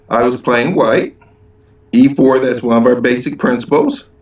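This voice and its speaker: The room adds audible echo. Within it, this man talks at a moderate speed. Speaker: chess teacher. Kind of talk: tutorial. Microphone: webcam.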